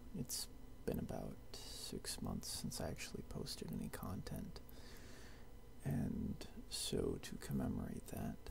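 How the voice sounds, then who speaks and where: Whispering in a gentle tone at a fairly slow pace, with long, frequent pauses and noticeable background noise. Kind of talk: casual talk to camera. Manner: soft-spoken, gentle, rambling.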